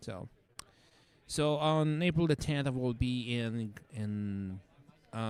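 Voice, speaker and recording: The man talks at a very slow pace with long, frequent pauses. He has a medium pitch and ordinary pitch variation. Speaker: livestream operator. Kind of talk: livestream chat. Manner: loud.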